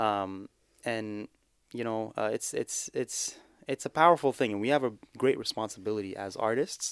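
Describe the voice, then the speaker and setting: A man with a Canadian accent speaks in an unremarkable speaking voice at a medium pitch and moderate pace, with ordinary pitch variation, a dry, close sound with no echo, and a very clean recording with a silent background. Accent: North American (Canadian) English. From Canada (Guelph, Ontario); born in Somalia. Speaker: a cappella nasheed singer. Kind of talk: casual interview chat. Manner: laid-back, casual.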